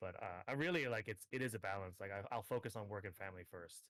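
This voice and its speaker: Talking at a very fast pace, a man with an American accent uses a fairly low pitch and ordinary pitch variation. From Hong Kong. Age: 30s. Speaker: gamer and tournament organizer. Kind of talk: interview. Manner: hesitant, many fillers.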